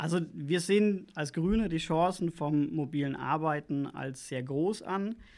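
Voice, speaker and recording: In a very clean recording with a silent background, a man with a normal speaking voice and a fairly high pitch talks at a fairly slow pace, with ordinary pitch variation and hardly any pauses. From Lower Franconia, Bavaria (Schweinfurt). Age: 30s. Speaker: local political candidate. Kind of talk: interview.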